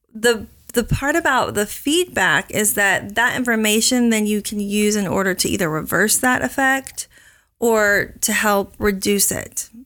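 In a very clean recording with a silent background, a woman with an American accent speaks fairly slowly in a bright, sharp tone. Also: fairly high pitch for a woman. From Oklahoma. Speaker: counselor. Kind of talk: interview.

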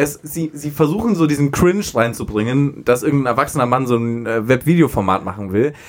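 A man with a southern German accent, fairly high-pitched, at a fairly quick pace with hardly any pauses and lively intonation. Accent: rolled R, southern German. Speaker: podcast co-host. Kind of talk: casual chat.

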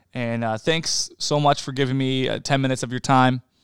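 An unremarkable speaking voice, this man's sits at a medium pitch with fairly even intonation. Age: 30s. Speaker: podcast host and plumber. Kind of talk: casual solo monologue. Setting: home apartment.

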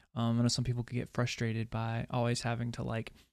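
Very clean with a silent background, the recording has a man with a plain, everyday voice speaking fairly quickly at a medium pitch. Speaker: podcast co-host. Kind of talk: casual chat.

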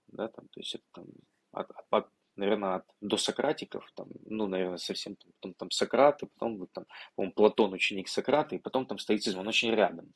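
A man with an unremarkable speaking voice talks at a fairly quick pace and fairly low pitch, with big swings in loudness, in a dry, close sound with no echo. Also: ordinary pitch variation. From Ukraine, Odesa region. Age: 20s. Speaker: tech entrepreneur. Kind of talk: interview conversation.

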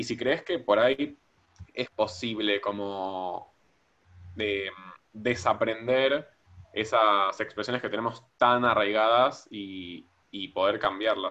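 Speaking at a fairly low pitch with a bright, sharp tone, a man goes very slowly with long, frequent pauses and ordinary pitch variation. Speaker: podcast co-host. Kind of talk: podcast interview.

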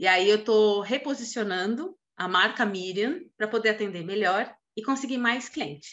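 Using a normal speaking voice, a woman talks at a moderate pace with lively intonation and a fairly high pitch. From Brazil, São Paulo. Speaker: financial planner. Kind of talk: casual chat.

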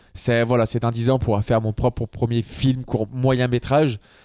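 On a very clean recording with a silent background, a man speaks at medium pitch with a dark, mellow tone and monotone, flat intonation. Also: dry, close sound with no echo. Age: 30s. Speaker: videographer. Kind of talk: casual chat.

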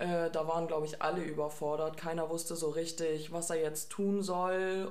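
A woman's fairly low, monotone, flat voice amid noticeable background noise and audible room echo. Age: 20s. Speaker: trainee geriatric nurse, podcast co-host. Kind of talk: casual chat.

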